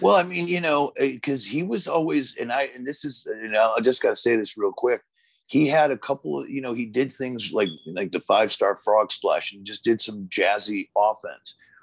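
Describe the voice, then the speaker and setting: With a plain, everyday voice, a man speaks at a moderate pace and medium pitch with lively intonation, on a very clean recording with a silent background and a dry, close sound with no echo. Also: hardly any pauses. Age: 40s. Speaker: former pro wrestler. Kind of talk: casual chat.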